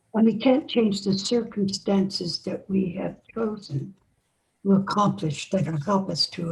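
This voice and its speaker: Very slowly, a woman talks at a medium pitch in a somewhat breathy voice. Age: 80s+. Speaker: near-death experience researcher and author. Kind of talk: interview conversation.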